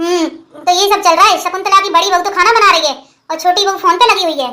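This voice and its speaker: A cartoonish character voice from a woman, extremely high-pitched and very fast. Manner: homely, observant.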